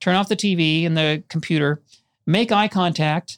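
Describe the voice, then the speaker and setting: On a very clean recording with a silent background, a plain, everyday voice comes through in a dry, close sound with no echo. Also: man. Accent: American. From Minnesota, Minneapolis western suburbs. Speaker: film and TV editor and documentary director. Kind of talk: casual interview conversation. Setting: studio.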